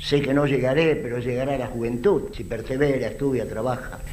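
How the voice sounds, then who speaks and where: A man with a medium pitch speaks at a moderate pace. Audible room echo and noticeable background noise are present. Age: 70s. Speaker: audience member asking a question. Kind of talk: audience question.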